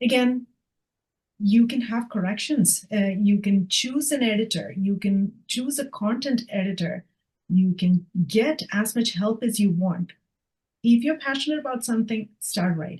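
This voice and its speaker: Speaking slowly-ish and somewhat breathily, a woman with a non-native accent has a fairly high pitch. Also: ordinary pitch variation. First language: not English. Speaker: author. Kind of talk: casual chat.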